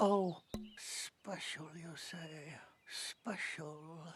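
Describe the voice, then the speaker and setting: A female-sounding voice at a middle pitch performs a cartoonish character voice. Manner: gentle, slow, polite.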